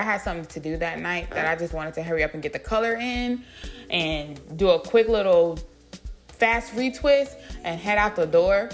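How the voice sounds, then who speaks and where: Over music in the background, a woman speaks at a fairly quick pace with a medium pitch and lively intonation. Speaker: beauty vlogger. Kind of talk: tutorial. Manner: casual, talkative.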